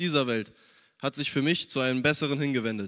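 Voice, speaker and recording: A man with an unremarkable speaking voice, fairly high in pitch, at a fairly quick pace with fairly even intonation, on a very clean recording with a silent background. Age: young. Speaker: church youth member. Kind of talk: testimony.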